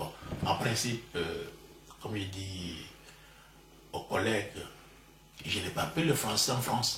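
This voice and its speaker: A man with a Congolese accent, fairly low in pitch and fairly slow, with ordinary pitch variation, long, frequent pauses and audible room echo. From DR Congo, Bas-Congo. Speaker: professor. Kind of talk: interview. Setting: at home. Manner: halting, repeats words.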